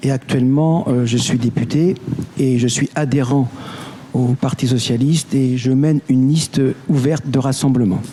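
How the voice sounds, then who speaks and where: A man speaks at a moderate pace with a medium pitch, fairly even intonation and very even loudness. Noticeable background noise sits behind him. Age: 60s. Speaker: municipal election candidate. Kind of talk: election debate.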